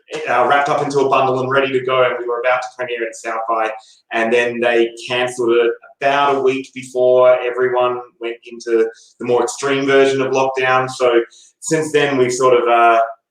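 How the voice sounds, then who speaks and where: A man with an Australian accent, fairly quick in pace and monotone, flat in intonation. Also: medium pitch for a man. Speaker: documentary filmmaker. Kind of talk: interview.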